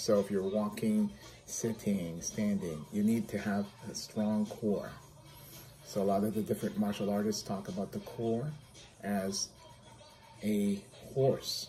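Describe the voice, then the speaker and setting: Faint music plays in the background beneath a voice with ordinary pitch variation. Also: man. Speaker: physical therapist vlogger. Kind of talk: casual vlog chat. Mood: upbeat, friendly. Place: home room.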